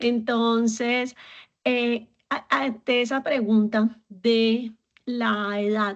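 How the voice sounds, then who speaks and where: Over a quiet background, a woman talks at a very slow pace with a fairly high pitch and fairly even intonation. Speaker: community founder and host. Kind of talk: interview.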